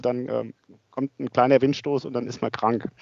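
The man speaks at a moderate pace in a monotone, flat intonation. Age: 50s. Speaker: asset management executive and amateur cyclist. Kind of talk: interview. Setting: office.

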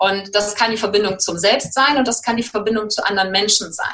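In an ordinary speaking voice, a woman talks at a fairly high pitch with fairly even intonation. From Germany, Cologne. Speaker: life coach. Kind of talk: interview.

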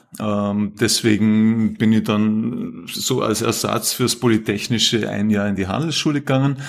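Noticeable background noise sits behind a man's fairly low voice with fairly even intonation. He talks at a fairly slow pace with hardly any pauses. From Austria, Vorarlberg. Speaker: climate policy professor. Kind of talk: casual interview.

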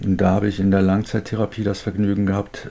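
Noticeable background noise runs under the recording. Through it, a man speaks in a fairly low voice. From North Rhine-Westphalia, Germany. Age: 50s. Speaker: recovered addict, self-help group leader. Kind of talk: casual interview.

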